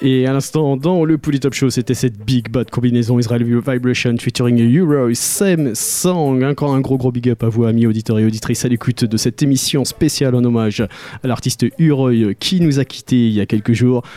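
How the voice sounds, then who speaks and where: At a very fast pace with hardly any pauses, a man at medium pitch talks in an upbeat, warm tone with very even loudness. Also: ordinary pitch variation. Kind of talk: radio DJ patter, French-language reggae show intros and outros between tracks. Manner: upbeat, smooth, warm 'good vibration' tone with rapid-fire track rundowns; reverent, tribute-minded tone when announcing a deceased artist.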